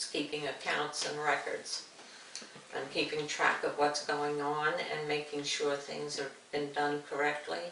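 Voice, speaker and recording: Over noticeable background noise, a woman talks in a very deep, low pitch with monotone, flat intonation. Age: old. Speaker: retired bank back-office clerk. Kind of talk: interview answer.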